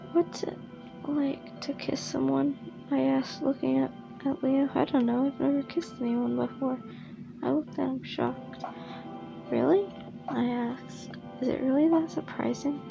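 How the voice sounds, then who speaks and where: A moderate pace broken by long, frequent pauses, with music in the background. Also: woman. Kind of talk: reading a fanfiction aloud, ASMR-style.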